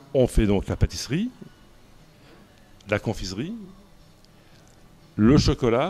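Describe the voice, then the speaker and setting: This man's voice has a dark, mellow tone. He keeps a fairly slow pace. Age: 60s. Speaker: pastry chef. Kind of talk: interview, personal storytelling. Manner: hesitant, many fillers and repetitions.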